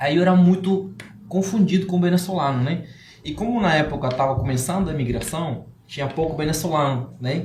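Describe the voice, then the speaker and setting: A man's fairly high-pitched voice amid noticeable background noise and audible room echo. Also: ordinary pitch variation, fairly quick pace. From Cuba. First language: Spanish (speaking Portuguese). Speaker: entrepreneur. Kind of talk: podcast interview. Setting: live-streamed podcast studio.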